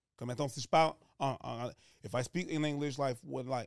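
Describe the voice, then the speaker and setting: The recording is very clean and the background silent. A man talks with fairly even intonation. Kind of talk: casual chat.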